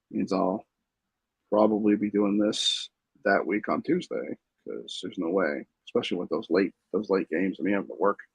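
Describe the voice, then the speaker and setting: Soft-spoken and at a moderate pace, a man's voice comes through with a dry, close sound and no echo. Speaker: sports fan vlogger. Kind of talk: casual solo recap. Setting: home room with TV. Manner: halting.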